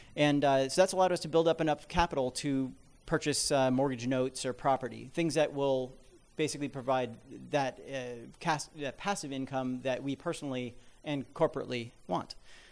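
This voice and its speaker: In a very clean recording with a silent background, a man speaks fairly high and fairly quickly, with fairly even intonation. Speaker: app developer and investor. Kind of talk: seminar talk. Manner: fast.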